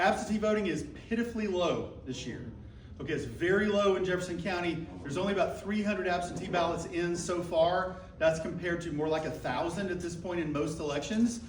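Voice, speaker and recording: A loud voice with ordinary pitch variation goes at a fairly quick pace, with audible room echo and noticeable background noise. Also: man, high pitch for a man. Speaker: county election commission member. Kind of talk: audience interjection at public forum. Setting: public library meeting with audience, speaking without mic.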